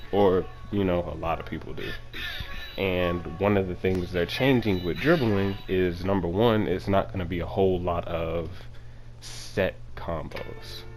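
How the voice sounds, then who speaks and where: Against audible room echo, a man speaks at a very deep, low pitch with ordinary pitch variation. His tone is calm and his pace fairly slow. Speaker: gaming YouTuber. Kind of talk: video commentary. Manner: low energy, calm.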